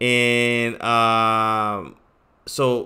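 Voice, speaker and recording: A man talks in a bright, sharp tone. The recording is very clean, and the background is silent. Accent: New York. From New York City. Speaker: crypto trading streamer and trading course seller. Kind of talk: live stream chat and sales pitch. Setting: live stream. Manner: halting, many fillers and repeats.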